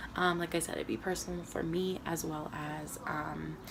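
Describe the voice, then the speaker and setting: A woman is speaking. The recording carries noticeable background noise and audible room echo. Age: 20s. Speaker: vlogger. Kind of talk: personal video diary. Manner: hesitant, many fillers.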